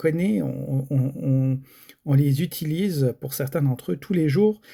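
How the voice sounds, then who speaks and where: On a very clean recording with a silent background, a man speaks at a fairly slow pace. His fairly high pitch carries a dark, mellow tone and lively intonation. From France. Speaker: gaming YouTuber. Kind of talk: casual video commentary. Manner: hesitant, many fillers.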